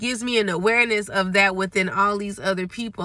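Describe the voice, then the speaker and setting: A woman rattles along at a very fast pace, her medium-pitched voice holding fairly even intonation. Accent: American. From Memphis, Tennessee, US South. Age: 30s. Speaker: vlogger. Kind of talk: casual monologue vlog. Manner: stutters at times.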